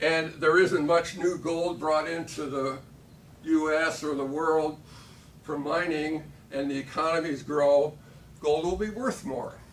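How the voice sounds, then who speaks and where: The voice carries an American accent and fairly even intonation. There is audible room echo. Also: man, fairly high pitch for a man. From Michigan, US Midwest. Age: 70s. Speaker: political candidate. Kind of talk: candidate forum speech. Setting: candidate forum with audience.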